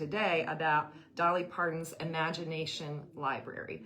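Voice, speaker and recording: Through noticeable background noise, a woman with a fairly low pitch speaks at a moderate pace with fairly even intonation. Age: 50s. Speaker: retired teacher, show host. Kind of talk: interview.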